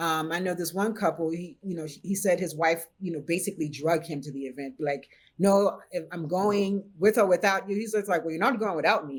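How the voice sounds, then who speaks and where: With a Haitian accent and a fairly low pitch, a woman talks with ordinary pitch variation and hardly any pauses. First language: Haitian Creole. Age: 50s. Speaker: BDSM practitioner and chef. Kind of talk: podcast interview.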